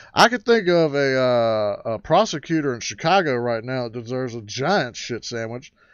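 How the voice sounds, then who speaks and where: Here a man speaks in a rural American accent. His pace is moderate. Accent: rural American twang. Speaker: livestream host. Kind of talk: casual livestream chat. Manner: animated.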